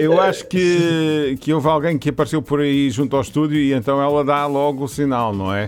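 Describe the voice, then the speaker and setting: This man has an unremarkable speaking voice, fairly high in pitch with ordinary pitch variation. He keeps a moderate pace with hardly any pauses. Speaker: radio host. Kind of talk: casual chat.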